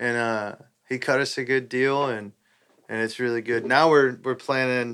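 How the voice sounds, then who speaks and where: On a very clean recording with a silent background, a man with a Texan accent speaks with fairly even intonation. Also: medium pitch for a man, moderate pace. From Southeast Texas. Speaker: country musician. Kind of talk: casual chat.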